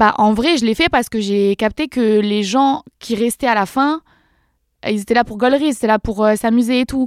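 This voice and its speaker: In a plain, everyday voice, a woman talks at a moderate pace with a fairly high pitch and ordinary pitch variation, the sound dry and close with no echo and the recording very clean against a silent background. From France, countryside near Dreux (Eure-et-Loir). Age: 20s. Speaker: social media creator. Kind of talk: casual chat. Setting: studio.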